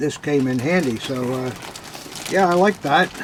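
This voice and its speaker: A man with a fairly high voice and ordinary pitch variation talks over noticeable background noise. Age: old. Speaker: antique militaria dealer. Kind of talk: unboxing chat. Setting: cellar. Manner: halting.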